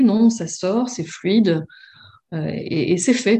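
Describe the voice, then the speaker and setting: Somewhat breathy and dark, mellow in tone, a woman speaks at a medium pitch with ordinary pitch variation. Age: 30s. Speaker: former coaching client. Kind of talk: interview testimony.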